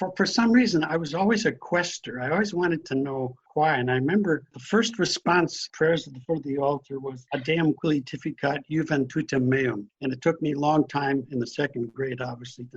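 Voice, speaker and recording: A man with an American accent talks at a fairly quick pace with hardly any pauses. His voice is fairly high and somewhat breathy, with lively intonation. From US Midwest, northern Wisconsin. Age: 80s+. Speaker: priest. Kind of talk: interview.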